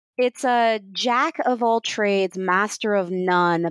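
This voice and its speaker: Her delivery is very slow. The sound is close-miked and dry, without any echo. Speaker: podcast host. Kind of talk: casual interview. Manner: animated.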